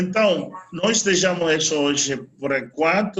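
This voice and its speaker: A man with a Spanish accent speaks at a very slow pace and a fairly high pitch. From Venezuela. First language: Spanish (speaking Portuguese). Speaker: solar energy trainer. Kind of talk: online training webinar.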